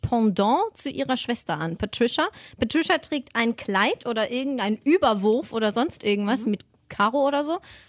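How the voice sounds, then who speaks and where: A high-pitched woman speaks at a moderate pace with lively intonation in a dry, close sound with no echo. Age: 20s. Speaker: podcast co-host. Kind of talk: casual chat.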